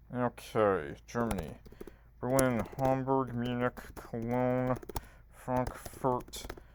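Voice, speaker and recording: Speaking at a very slow pace, a man with a medium-pitched voice keeps his intonation fairly even over noticeable background noise. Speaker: quiz gaming youtuber. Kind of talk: live quiz playthrough commentary.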